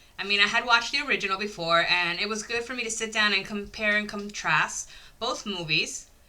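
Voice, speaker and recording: Noticeable background noise sits behind a woman speaking at a fairly quick pace in an animated tone. Her pitch is medium with ordinary variation. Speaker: YouTube horror movie reviewer. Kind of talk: casual video review monologue.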